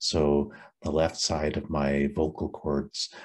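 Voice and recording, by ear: Extremely low male voice, breathy and raspy, with little pitch movement.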